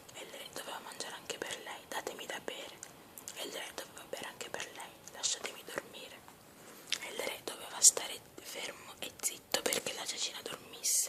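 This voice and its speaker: Whispering comes at a fairly quick pace, broken by long, frequent pauses. Noticeable background noise sits behind it. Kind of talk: ASMR fairy tale reading. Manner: whispered.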